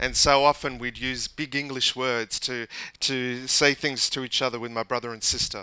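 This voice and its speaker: At a very slow pace, a man speaks at medium pitch with a bright, sharp tone and monotone, flat intonation. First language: English (speaking French). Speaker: pastor. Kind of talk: sermon. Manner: halting.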